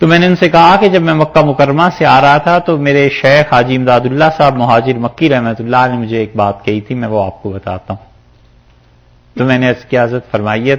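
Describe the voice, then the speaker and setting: A man speaks in a normal speaking voice at medium pitch. His intonation is lively. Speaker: Islamic scholar giving tafseer. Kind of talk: storytelling in a religious lecture.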